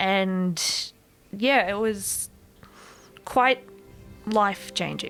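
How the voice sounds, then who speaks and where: With music in the background, a woman in a rural Queensland accent speaks very slowly at medium pitch, with fairly even intonation and long, frequent pauses. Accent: rural Queensland Australian. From far south west Queensland, Australia. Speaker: pre-service teacher and ESL tutor. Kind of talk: podcast interview answer.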